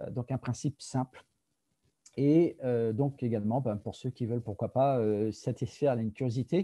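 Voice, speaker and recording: A man's dark, mellow voice at a moderate pace, with ordinary pitch variation, on a very clean recording with a silent background. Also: medium pitch for a man, dry, close sound with no echo. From France. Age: 50s. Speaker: product presenter. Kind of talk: presentation. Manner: hesitant, many fillers.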